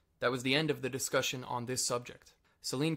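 In an ordinary speaking voice, a man talks at a fairly quick pace with medium pitch and fairly even intonation. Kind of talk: reading of a written interview and narration.

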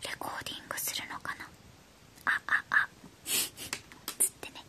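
Whispering at a fairly slow pace, a woman's loudness swings widely. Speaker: toy unboxing creator. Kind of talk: whispered ASMR toy unboxing. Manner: whispered. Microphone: phone near.

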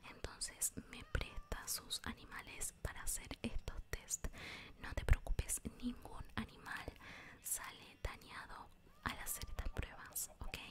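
A woman whispers at a very slow pace, with big swings in loudness. Noticeable background noise runs underneath. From Argentina. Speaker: ASMR creator. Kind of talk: ASMR roleplay with gameplay, role-played medical exam. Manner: soft-spoken, whispering, slow.

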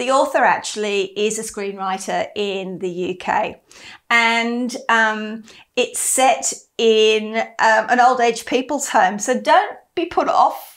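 A woman with an Australian accent, fairly high pitch, lively intonation and a very slow pace, against a quiet background. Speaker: book club host. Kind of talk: casual chat. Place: home room. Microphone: lapel.

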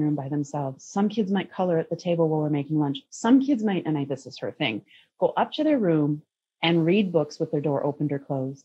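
A woman speaks with an American accent at a fairly quick pace. Her pitch sits fairly low, and her intonation is lively. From US Midwest, Minnesota. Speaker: parenting guest, intuitive counselor; guest. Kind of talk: interview conversation. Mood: earnest, reflective. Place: home room. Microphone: video call.

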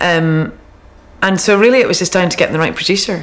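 Here a woman talks at a fairly quick pace. Her pitch variation is ordinary. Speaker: interviewee. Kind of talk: interview answer. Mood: relaxed, upbeat. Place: home room.

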